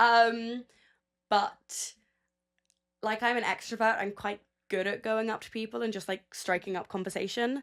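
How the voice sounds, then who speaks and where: A woman with a London accent, fairly high-pitched, flat and monotone, at a moderate pace with long, frequent pauses and big swings in loudness, on a very clean recording with a silent background. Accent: British (London). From England, London. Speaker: audio producer. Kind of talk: interview.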